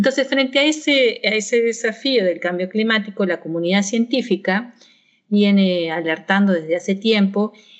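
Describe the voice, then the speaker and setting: Lively in intonation, a woman talks at a medium pitch in a plain, everyday voice. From Argentina. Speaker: university professor. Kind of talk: interview.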